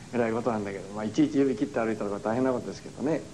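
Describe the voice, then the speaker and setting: Light background noise sits behind a man's speech. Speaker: religious lecturer. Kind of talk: lecture. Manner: animated.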